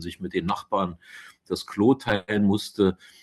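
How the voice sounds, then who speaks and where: A man speaks with a very deep, low pitch. His pace is fairly slow and his intonation fairly even. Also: dry, close sound with no echo, quiet background. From eastern Germany, Uckermark (Brandenburg). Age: 60s. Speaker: politician. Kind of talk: podcast interview. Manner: frequent hesitations (äh).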